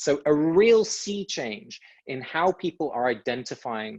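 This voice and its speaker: With an English accent, a man speaks with lively intonation at a fairly high pitch, the sound dry and close with no echo. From England. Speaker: author and speaker. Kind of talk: talk to online audience. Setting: video call webinar.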